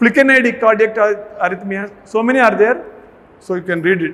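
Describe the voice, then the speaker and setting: In an Indian accent, a man talks at a fairly quick pace with a high pitch and ordinary pitch variation. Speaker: medical college pharmacology lecturer. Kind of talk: lecture. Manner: fast.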